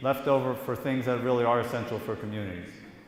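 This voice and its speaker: Noticeable background noise is present throughout. The words come at a fairly quick speed. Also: man. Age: 50s. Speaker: political candidate. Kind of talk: candidate answering audience questions at a public forum. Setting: community meeting hall. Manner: hesitant, many fillers.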